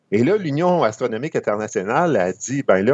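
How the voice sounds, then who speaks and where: This man has an ordinary speaking voice with a fairly high pitch. His intonation is lively. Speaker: amateur astronomy columnist. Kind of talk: educational chat.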